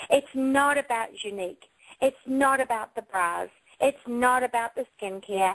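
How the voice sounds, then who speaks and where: With an unremarkable speaking voice, a woman talks at a moderate pace with ordinary pitch variation in a dry, close sound with no echo. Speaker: direct selling author and speaker. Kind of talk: motivational talk.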